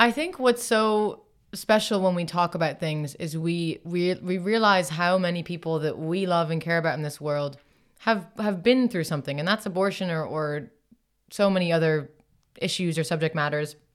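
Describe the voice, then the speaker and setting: A woman speaks at a moderate pace in a fairly low voice with ordinary pitch variation, on a very clean recording with a silent background. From Ireland. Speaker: singer-songwriter. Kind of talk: casual interview chat. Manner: open, candid.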